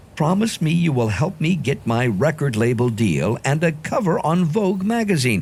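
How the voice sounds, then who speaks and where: At a moderate pace, a man speaks with vocal fry. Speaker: audiobook narrator. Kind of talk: children's audiobook reading.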